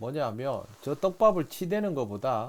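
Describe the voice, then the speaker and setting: The pitch swings very widely in a very clean recording with a silent background. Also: man. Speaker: fishing instructor. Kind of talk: instructional commentary.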